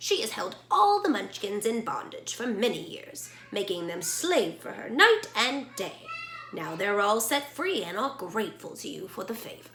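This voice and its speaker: A woman puts on a character voice. She speaks at a moderate pace with a fairly high pitch. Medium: read story. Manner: calm, gracious.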